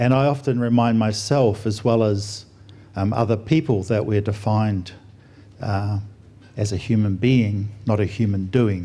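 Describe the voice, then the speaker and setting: A man with an Australian accent, dark and mellow in tone, fairly low-pitched, with fairly even intonation, very even loudness, a fairly slow pace and audible room echo. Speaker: doctor and air force officer, guest speaker. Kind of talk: sermon. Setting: church stage with audience. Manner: soft-spoken; mumbling.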